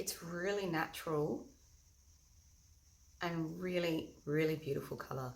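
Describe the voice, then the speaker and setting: Vocal fry runs through a fairly slow delivery with ordinary pitch variation. Room echo is audible. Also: woman. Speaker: makeup tutorial host. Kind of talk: tutorial. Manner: loud.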